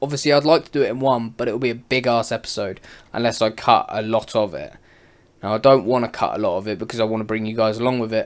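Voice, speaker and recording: In a very clean recording with a silent background, a man talks at a very fast pace with a British accent. His medium pitch holds to a fairly even intonation. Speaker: gaming YouTuber. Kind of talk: gameplay commentary. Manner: casual, rambling.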